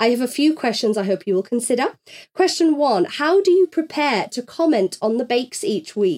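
A woman with a northern English accent, high pitch, very wide pitch swings, and a moderate pace. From northern England. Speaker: podcast host. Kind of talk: casual chat.

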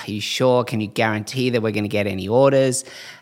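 With an Australian accent, a man talks in a fairly low pitch and a fairly even intonation. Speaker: eyewear brand co-founder. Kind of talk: interview conversation.

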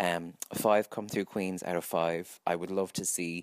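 A man speaks with an Irish accent in a dry, close sound with no echo. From Ireland. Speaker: listener contributor. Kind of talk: recorded voice message review.

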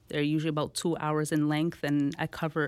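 A woman's very deep, low voice at a very fast pace on a very clean recording with a silent background. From Toronto, Canada (Jane and Finch). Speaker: financial literacy educator. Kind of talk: interview.

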